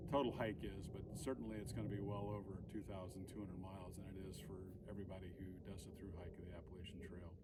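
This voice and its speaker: The man speaks with vocal fry. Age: 60s. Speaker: hiker and vlogger, Navy veteran. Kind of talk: vlog announcement. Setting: outdoors on a trail. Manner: halting, many fillers.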